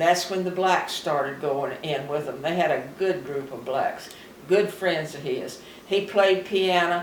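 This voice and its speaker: Over noticeable background noise, a woman with an American accent speaks at a fairly slow pace in a fairly low pitch. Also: ordinary pitch variation. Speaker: retired farmer. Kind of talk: interview answer.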